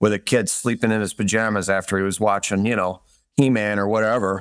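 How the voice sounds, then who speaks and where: Here a man speaks with a Michigan accent and fairly even intonation. The recording is very clean, with a silent background. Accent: Midwestern American (Michigan). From Detroit suburbs, Michigan. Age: 40s. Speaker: real estate investor. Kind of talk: interview. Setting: podcast.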